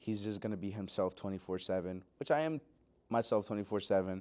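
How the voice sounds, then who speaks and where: A man's dark, mellow tone with a slight Puerto Rican accent and fairly even intonation, on a very clean recording with a silent background. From Pennsylvania (Lebanon and Lancaster), born in Puerto Rico. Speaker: graduate student and musician. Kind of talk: interview. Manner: hesitant, many fillers.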